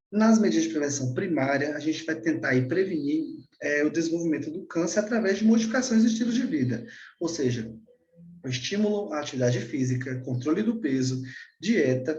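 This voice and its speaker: Audible room echo surrounds a man whose fairly high voice makes very wide pitch swings. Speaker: doctor giving a lecture. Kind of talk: lecture. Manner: halting, many fillers and repeats.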